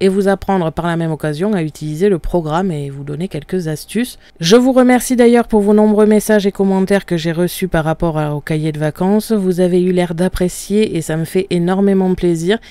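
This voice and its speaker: A woman at a fairly quick pace with hardly any pauses, ordinary pitch variation, a dry sound with no echo and a quiet background. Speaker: craft software tutor. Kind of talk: tutorial. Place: home room.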